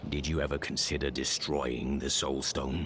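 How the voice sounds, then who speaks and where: A man's put-on character voice, very deep and low, with clear background noise. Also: moderate pace. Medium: video game. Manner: measured, solemn.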